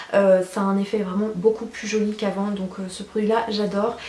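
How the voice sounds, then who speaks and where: A woman talks at a moderate pace and medium pitch. Her intonation is monotone and flat, and there is noticeable background noise. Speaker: beauty youtuber. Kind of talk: product review vlog. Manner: chatty.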